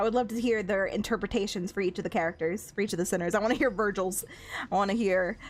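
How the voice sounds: The voice here reads in a natural way.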